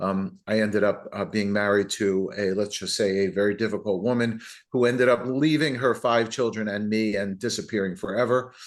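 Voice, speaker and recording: Against a quiet background, a man with a fairly low pitch talks at a fairly quick pace. He has hardly any pauses and fairly even intonation. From New Jersey, US. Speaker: entrepreneur and author. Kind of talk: podcast interview.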